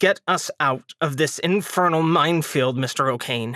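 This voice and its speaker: A put-on, growling character voice at a moderate pace, with ordinary pitch variation and a dry, close sound free of echo. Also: man, fairly high pitch for a man. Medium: read story. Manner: curt, waspish.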